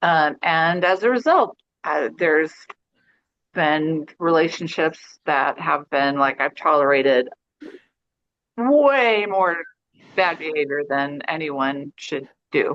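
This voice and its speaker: A woman's very deep, low voice at a very slow pace, with long, frequent pauses and ordinary pitch variation. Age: 60s. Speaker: yoga student. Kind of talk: casual chat. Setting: video call.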